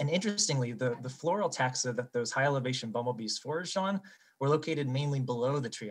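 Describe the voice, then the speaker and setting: The voice is somewhat breathy, with an American accent and lively intonation at a fairly quick pace. The sound is dry and close, with no echo. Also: man. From eastern United States. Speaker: bumblebee researcher. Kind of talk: conference poster presentation.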